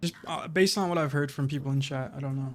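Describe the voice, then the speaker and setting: A man talks fairly quickly, his pitch varying in an ordinary way, while noticeable noise fills the background. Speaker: gaming streamer. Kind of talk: gameplay commentary while live-streaming. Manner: calm, little emotion in voice; casual, relaxed.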